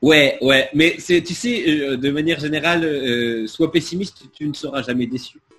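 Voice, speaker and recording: Over background music, a man speaks fairly slowly at a fairly high pitch. His pitch varies ordinarily, and he hardly pauses. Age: 40s. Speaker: comedian and radio presenter. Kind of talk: casual chat.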